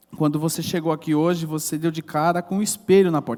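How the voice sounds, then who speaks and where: A man talks very fast with a high pitch. His tone is animated and his intonation lively. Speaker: pastor. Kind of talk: sermon. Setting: church service.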